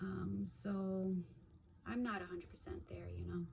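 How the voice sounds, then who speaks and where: A woman speaks at a moderate pace. Her voice comes with audible room echo and noticeable background noise. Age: 30s. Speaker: stroke survivor. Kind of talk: personal testimony. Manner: halting, with frequent fillers; occasional stuttering and blanking out.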